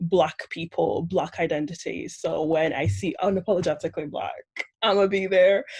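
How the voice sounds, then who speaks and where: A woman's fairly slow speech with vocal fry and ordinary pitch variation. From Manchester. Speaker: participant. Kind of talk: casual introduction.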